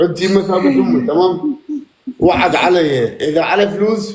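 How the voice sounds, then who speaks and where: A man's high voice with an Iraqi accent at a fairly slow pace, lively in intonation, with audible room echo. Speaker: live stream participant. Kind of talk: live stream chat. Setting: live stream.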